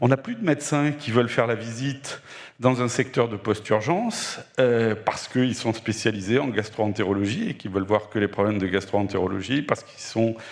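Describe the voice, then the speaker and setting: A man speaks at a moderate pace in a medium pitch, his intonation fairly even, with noticeable background noise behind him. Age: 60s. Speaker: doctor in audience. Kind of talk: audience question.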